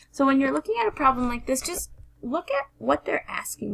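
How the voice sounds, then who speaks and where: A woman is heard over noticeable background noise. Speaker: teacher. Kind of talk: tutorial. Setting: screencast recording.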